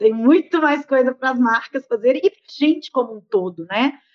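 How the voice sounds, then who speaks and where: A woman talks at a fairly quick pace and a high pitch with ordinary pitch variation. The sound is dry and close, with no echo. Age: 40s. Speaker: business and innovation consultant. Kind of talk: interview.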